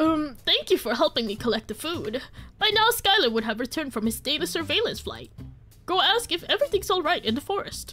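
A put-on character voice with a high pitch and very wide pitch swings moves at a fairly quick pace. Faint music plays in the background. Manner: silly, cartoonish.

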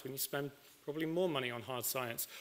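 A man talks at a fairly high pitch, with a fairly bright tone and ordinary pitch variation.

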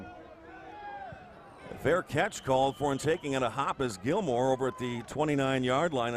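A man talks in a normal speaking voice with an American accent. His pitch is medium, with ordinary variation. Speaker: play-by-play sports announcer. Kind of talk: live football play-by-play call.

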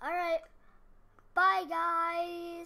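A woman's extremely high, raised and projected voice with a bright, sharp tone. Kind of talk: casual gameplay commentary.

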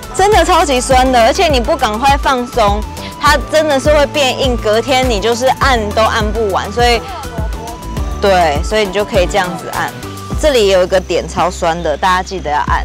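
A woman speaks at a moderate pace, with clear music in the background. The sound is dry with no echo. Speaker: guest. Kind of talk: casual product demo talk. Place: street. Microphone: lapel.

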